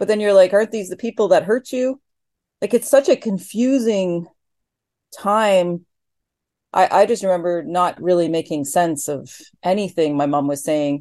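Against a quiet background, a woman with a dark, mellow tone and medium pitch speaks at a moderate pace with lively intonation. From northern Ontario, Cree. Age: 50s. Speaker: filmmaker. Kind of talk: interview.

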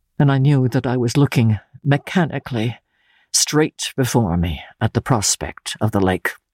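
Slightly mellow female voice at a fairly slow pace, with ordinary pitch variation and a dry, close sound with no echo

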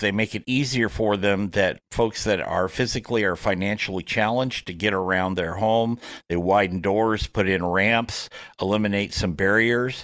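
A plain, everyday voice from a man, fairly low-pitched and fairly slow, on a very clean recording with a silent background. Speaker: golf radio host. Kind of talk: casual interview.

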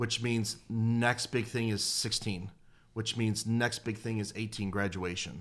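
With an American accent and an ordinary speaking voice, a man talks at a medium pitch and a fairly slow pace, his intonation fairly even, in a very clean recording with a silent background. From Detroit, Michigan. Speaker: youth pastor. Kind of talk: casual chat. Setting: studio.

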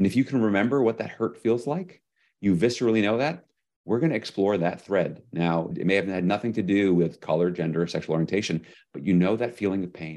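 Against a quiet background, a man with an American accent speaks at a fairly low pitch with ordinary pitch variation. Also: fairly quick pace. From US New York. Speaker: executive leadership coach and author. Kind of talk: interview conversation.

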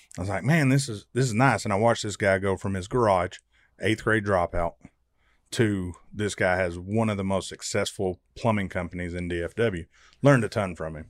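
In a very clean recording with a silent background, a man uses an ordinary speaking voice with ordinary pitch variation at a fairly quick pace. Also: fairly low pitch for a man. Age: 40s. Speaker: entrepreneur and master plumber, podcast co-host. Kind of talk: casual chat.

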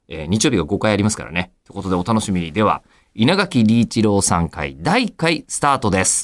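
The recording is very clean, and the background is silent. Dry and close, the sound carries no echo. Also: man. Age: 40s. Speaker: radio announcer. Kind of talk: interview. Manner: polite.

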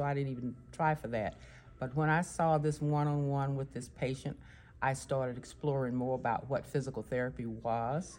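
In a Texan accent, a woman speaks at a moderate pace with a very deep, low pitch. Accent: Texan Southern US. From Texas. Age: 70s. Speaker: physical therapist. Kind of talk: interview.

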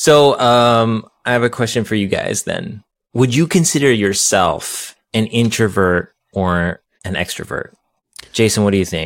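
With a plain, everyday voice, a man speaks at a fairly slow pace. His pitch is medium and his intonation lively. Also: very clean recording, silent background. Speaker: podcast host. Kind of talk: podcast interview.

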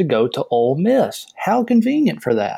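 A man speaks with a Southern US accent. His tone is dark and mellow. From US South. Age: 30s. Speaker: caller. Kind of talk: casual chat.

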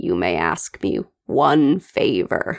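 The man puts on a croaky character voice. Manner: defeated.

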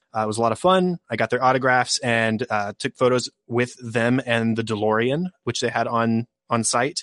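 At a moderate pace, the speaker uses an ordinary speaking voice with ordinary pitch variation, the sound dry and close with no echo. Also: man, medium pitch for a man. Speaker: podcaster. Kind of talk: casual chat.

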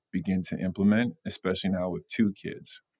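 A man speaks with an American accent in a plain, everyday voice. His pitch is fairly low and his intonation fairly even. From US Northeast, Long Island, New York. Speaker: songwriter and music executive. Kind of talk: casual chat.

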